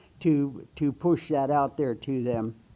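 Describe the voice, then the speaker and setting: A man's voice with a dark, mellow tone. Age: 80s+. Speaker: retired bus driver and Marine veteran speaking at public comment. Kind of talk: public comment at town hall. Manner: halting, many fillers.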